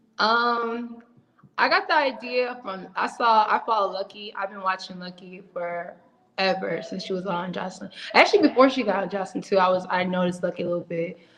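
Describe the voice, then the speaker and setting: An unremarkable speaking voice from a woman, medium in pitch with ordinary variation, at a fairly quick pace. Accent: American. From Ohio, Cleveland. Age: 20s. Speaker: reality TV contestant, rapper, college student. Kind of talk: casual interview.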